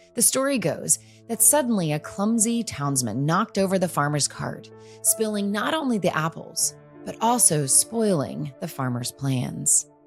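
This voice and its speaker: Over music in the background, a woman talks at a moderate pace and fairly low pitch with very wide pitch swings. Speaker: podcast host. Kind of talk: podcast intro narration.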